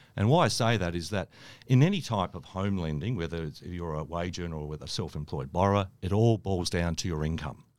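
Fairly quick and with ordinary pitch variation, this voice carries an Australian accent in a very clean recording with a silent background. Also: man, very deep, low pitch for a man. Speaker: mortgage broker. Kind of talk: podcast interview. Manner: halting, many fillers.

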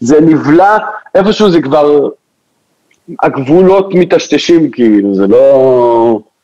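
A very slow, dark and mellow male voice, fairly high in pitch, broken by long, frequent pauses. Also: lively intonation, very even loudness. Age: 20s. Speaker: DJ. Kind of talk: casual chat. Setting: studio.

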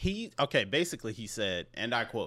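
The voice has a bright, sharp tone on a very clean recording with a silent background. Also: man. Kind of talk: casual chat.

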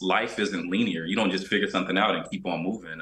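An American accent, fairly even intonation, and noticeable background noise. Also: man. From US South, Georgia. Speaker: fitness coach and yoga instructor. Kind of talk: interview.

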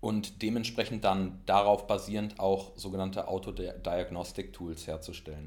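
With a very deep, low pitch and fairly even intonation, a man talks at a fairly slow pace. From Berlin, Germany. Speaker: data scientist. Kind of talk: interview.

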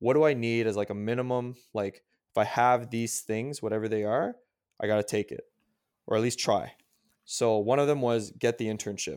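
A man's medium-pitched voice with a Canadian accent, a plain, everyday voice at a moderate pace with fairly even intonation, in a very clean recording with a silent background. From Canada. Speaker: strength coach and personal trainer. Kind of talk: casual interview.

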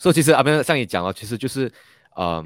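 Speaking at a very fast pace with lively intonation, a man comes through dry and close with no echo on a very clean recording against a silent background. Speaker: podcast host interviewing entrepreneurs. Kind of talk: interview. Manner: frequent fillers and hesitations.

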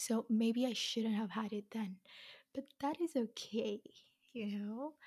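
The sound is dry and close, with no echo. A woman speaks with a fairly high pitch and a somewhat breathy voice. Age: 20s. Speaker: podcast host. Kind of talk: casual monologue.

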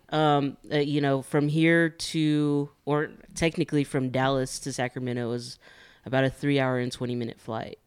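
A man with a plain, everyday voice speaks at a moderate pace with fairly high pitch and fairly even intonation, on a very clean recording with a silent background. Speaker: regular guest, prison worker. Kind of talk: casual chat.

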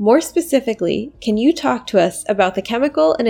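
With an American accent, a woman with a fairly high pitch talks at a very fast pace. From Pittsburgh, Pennsylvania. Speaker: podcast host. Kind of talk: interview.

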